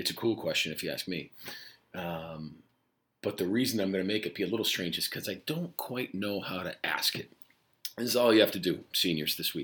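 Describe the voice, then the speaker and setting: A man with a fairly low pitch talks at a fairly quick pace. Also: lively intonation. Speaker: high school Spanish teacher. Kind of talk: podcast monologue to students. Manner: rambling, casual.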